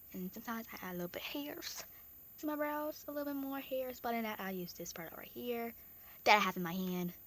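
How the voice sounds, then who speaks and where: The speech moves at a very fast pace with very wide pitch swings. Noticeable background noise runs underneath. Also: woman, fairly high pitch for a woman. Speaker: makeup vlogger. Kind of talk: tutorial.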